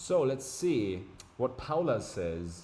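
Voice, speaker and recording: In a room with audible echo, a man of medium pitch speaks with a dark, mellow tone, somewhat breathy, his pitch swinging very widely. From Germany. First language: German. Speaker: streamer. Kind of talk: live stream chat. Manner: casual, animated.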